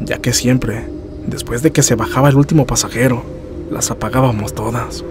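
In a natural reading voice, the intonation holds fairly even.

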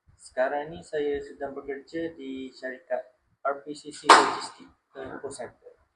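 Speaking with monotone, flat intonation at a fairly high pitch, a man shows big swings in loudness. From Kelantan, Malaysia. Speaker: logistics worker. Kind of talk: interview answers. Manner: halting.

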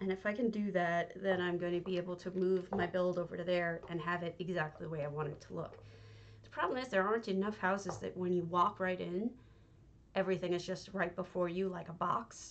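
A woman speaks quietly at a fairly quick pace. Her pitch is fairly low and her intonation fairly even. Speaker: game streamer. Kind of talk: live stream commentary while playing. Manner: quiet, low volume; hesitant, with many fillers. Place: home room.

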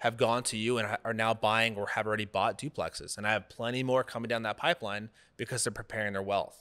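A man with an American accent, very fast and monotone, his flat delivery bright and sharp in tone against a quiet background. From Dallas-Fort Worth, Texas; Texas. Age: 20s. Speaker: real estate investor, Marine veteran; interview guest. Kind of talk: casual interview. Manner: halting, many fillers. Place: office. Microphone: studio mic.

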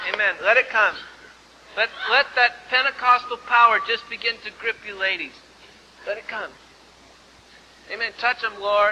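A man's raised, projected voice at an extremely high pitch, monotone and flat, with big swings in loudness, a moderate pace, long, frequent pauses and light background noise. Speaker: pastor. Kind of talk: church sermon, revival ministry. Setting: live church service. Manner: fervent, exhorting. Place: church.

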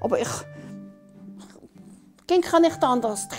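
A woman talks at a fairly slow pace while faint music plays behind her. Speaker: interviewee. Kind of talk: interview answer. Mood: good-humored, reflective. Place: home room. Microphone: lapel.

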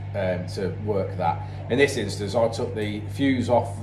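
The voice has fairly even intonation, with music playing in the background. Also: man. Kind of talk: interview answer. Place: workshop. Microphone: phone near.

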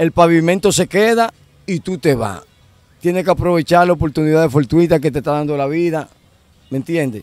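A man speaks at a fairly quick pace and a fairly high pitch, with ordinary pitch variation and long, frequent pauses. The sound is dry and close, with no echo. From Dominican Republic. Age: 50s. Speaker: former car thief. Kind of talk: interview, life story.

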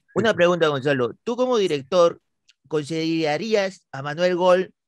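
A man's high voice at a moderate pace, lively in intonation and animated in tone, with dry, echo-free sound against a quiet background. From Peru. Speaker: comedy YouTuber, interviewer. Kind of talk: casual comedic interview. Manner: animated, joking. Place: home room. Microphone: studio mic.

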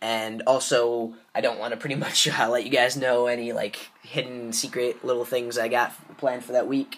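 A man's monotone, flat delivery at a moderate pace with hardly any pauses, over noticeable background noise. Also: medium pitch for a man. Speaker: gaming YouTuber. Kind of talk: casual vlog commentary. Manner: hesitant, many filler words.

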